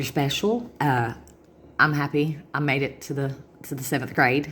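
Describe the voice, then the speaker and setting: A woman's very deep, low voice in a Southern US accent. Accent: Southern US drawl. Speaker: vlogger. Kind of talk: casual monologue to camera. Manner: fast.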